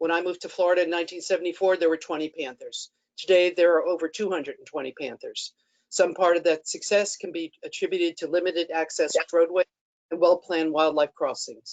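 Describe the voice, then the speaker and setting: This woman talks at a very fast pace in a fairly low pitch. Her intonation is monotone and flat, and the sound is dry and close with no echo. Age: 60s. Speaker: public commenter. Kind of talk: public comment statement. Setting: webinar. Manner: formal.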